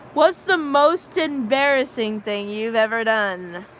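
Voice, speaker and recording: A woman with an American accent, fairly high pitch and lively intonation. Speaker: livestreamer. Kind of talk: casual chat. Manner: loud; halting.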